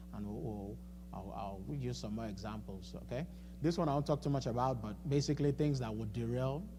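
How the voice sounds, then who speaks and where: With a non-native accent, a man speaks amid audible room echo. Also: fairly quick pace. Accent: noticeable non-native. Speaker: financial coach speaking at a church. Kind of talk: seminar talk. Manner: halting, with many repetitions and fillers.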